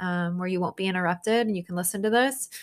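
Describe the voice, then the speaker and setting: In a very clean recording with a silent background, a woman speaks in a normal speaking voice at a medium pitch with fairly even intonation. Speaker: therapist podcast host. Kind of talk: guided meditation. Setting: home recording. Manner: slow, soothing, calm; gentle, unhurried with pauses.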